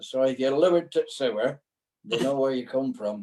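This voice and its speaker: This man has a Lancashire accent and a dark, mellow tone. His pitch is fairly high, with ordinary variation. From Chorley, Lancashire. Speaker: dialect performer. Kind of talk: casual chat. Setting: video call.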